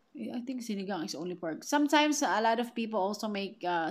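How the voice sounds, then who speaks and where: A woman in a Filipino accent, with lively intonation and a fairly quick pace. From Philippines. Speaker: vlogger. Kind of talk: product haul vlog. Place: home room. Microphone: phone near.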